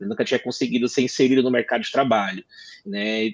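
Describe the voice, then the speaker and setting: The sound is dry and close, without any echo. A man speaks at a very fast clip. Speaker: lawyer, law firm partner. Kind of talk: panel discussion.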